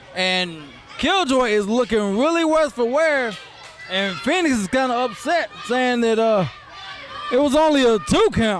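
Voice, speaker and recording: Over music in the background, a man with an extremely high pitch speaks in an excited tone with lively intonation and very even loudness, at a fairly slow pace with long, frequent pauses. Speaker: wrestling commentator. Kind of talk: live play-by-play commentary. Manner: excited, casual.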